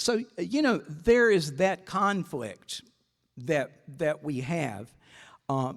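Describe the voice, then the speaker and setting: On a very clean recording with a silent background, a man with a Southern US accent speaks very slowly at a high pitch, with very wide pitch swings. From US South, South Carolina (Greenwood). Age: 60s. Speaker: advocate for older people. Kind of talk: talk to a breakfast audience. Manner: conversational, many fillers and repeats.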